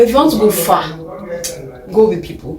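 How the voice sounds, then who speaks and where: There is audible room echo and noticeable background noise behind this woman's voice. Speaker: medical student vlogger. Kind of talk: advice vlog.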